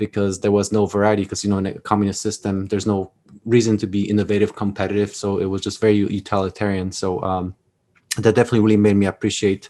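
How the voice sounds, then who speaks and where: In a Polish accent, the voice runs at a very fast pace with a dark, mellow tone and monotone, flat intonation. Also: man, fairly low pitch for a man. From Poland. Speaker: Army veteran and author. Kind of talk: podcast interview, personal story. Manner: halting, many repeated words.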